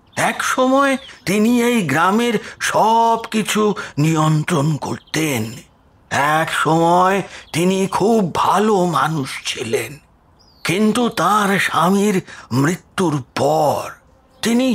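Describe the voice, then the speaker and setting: Put-on character voice from a man, high-pitched and very slow, with lively intonation and very even loudness. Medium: audio drama. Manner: whispering, sorrowful.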